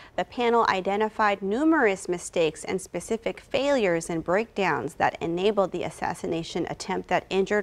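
Using a normal speaking voice, a woman talks at a medium pitch and with ordinary pitch variation. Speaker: news anchor. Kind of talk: news reading. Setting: TV studio. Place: studio. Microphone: lapel.

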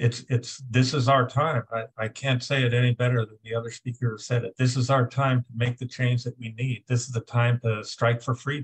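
A man talks at a moderate pace against a quiet background. His voice is somewhat breathy, with monotone, flat intonation. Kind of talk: political discussion remarks. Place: home room. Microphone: video call.

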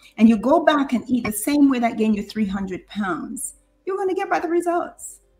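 Her voice is somewhat breathy. The woman's pitch swings very widely. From Jamaica. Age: 50s. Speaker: nurse and diabetes coach. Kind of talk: interview.

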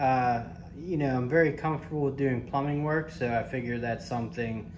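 Light background noise sits behind a man whose voice is somewhat breathy. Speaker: handyman reviewing a tool. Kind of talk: casual product review chat. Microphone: phone near.

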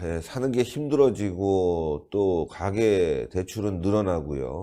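Very slow speech with very wide pitch swings and a dark, mellow tone comes through a very clean recording with a silent background. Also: man. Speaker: political commentary show host. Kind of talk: political talk show interview.

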